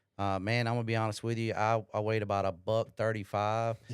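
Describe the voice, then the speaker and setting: Talking fairly quickly, the man has a Southern US accent. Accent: Simpson County Southern. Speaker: Army veteran, nonprofit founder. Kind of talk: interview storytelling. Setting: studio.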